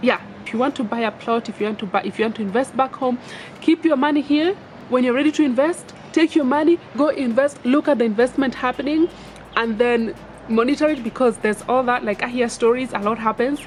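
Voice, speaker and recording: A woman's high-pitched voice with ordinary pitch variation at a fairly quick pace, over noticeable background noise. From Kenya. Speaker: vlogger. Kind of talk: casual advice vlog. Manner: animated.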